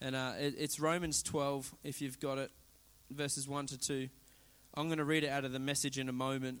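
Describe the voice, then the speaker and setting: A man with an Australian accent, fairly high-pitched, in a monotone, flat intonation. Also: moderate pace. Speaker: preacher. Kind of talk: sermon. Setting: church. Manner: informal, humorous.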